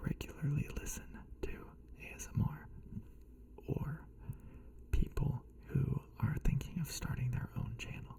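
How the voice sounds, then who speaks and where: A man whispers at a fairly slow pace, pausing long and often, with big swings in loudness and noticeable background noise underneath. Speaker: ASMR creator. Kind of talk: ASMR tutorial talk. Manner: soft-spoken whisper.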